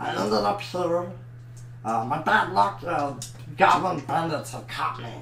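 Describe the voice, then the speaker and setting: Over clear background noise, a put-on character voice at a low-to-middle pitch moves at a moderate pace with long, frequent pauses. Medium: actual play. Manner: hesitant, filler-heavy.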